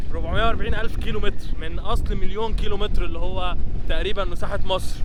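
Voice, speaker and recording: Noticeable background noise and audible room echo surround speech delivered at a fairly quick pace. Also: man. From Egypt, Alexandria. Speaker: travel vlogger. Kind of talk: on-location casual chat.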